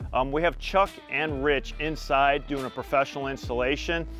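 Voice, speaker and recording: A man speaks at a moderate pace over faint background music, the sound dry with no echo. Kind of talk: project update to camera. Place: garden. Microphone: lapel.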